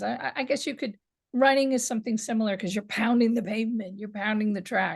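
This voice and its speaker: Over a quiet background, a woman with a New York accent speaks in a somewhat breathy, fairly high voice with ordinary pitch variation. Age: 60s. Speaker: women's boxing historian and author. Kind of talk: interview. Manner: halting with repeated words.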